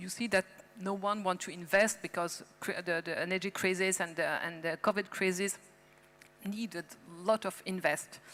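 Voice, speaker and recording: A woman speaks with a French accent in a monotone, flat way. Her loudness swings widely. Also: medium pitch for a woman, moderate pace. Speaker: policymaker. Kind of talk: panel discussion. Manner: halting.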